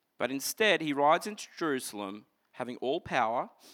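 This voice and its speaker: An Australian man talks at a fairly quick pace in a medium pitch, animated in tone with very wide pitch swings. The recording is very clean with a silent background. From Queensland, Australia (Toowoomba). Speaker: pastor. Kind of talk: sermon. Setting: church.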